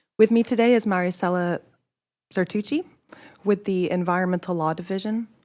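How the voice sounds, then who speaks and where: A soft-spoken woman talks at a fairly quick pace with medium pitch and ordinary pitch variation. She leaves long, frequent pauses. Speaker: state agency staff. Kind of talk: formal presentation at a public meeting.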